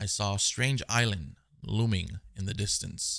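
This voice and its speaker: The background is quiet while a man talks with ordinary pitch variation. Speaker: gaming YouTuber. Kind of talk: gameplay commentary. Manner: animated. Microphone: headset.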